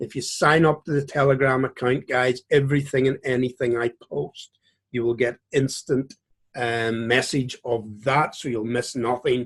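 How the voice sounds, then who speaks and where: Against a quiet background, a man with a Northern Irish accent speaks at a medium pitch and a moderate pace, somewhat breathy and in a monotone, flat intonation. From Northern Ireland, Belfast. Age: 50s. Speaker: trading educator. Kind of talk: tutorial. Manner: casual.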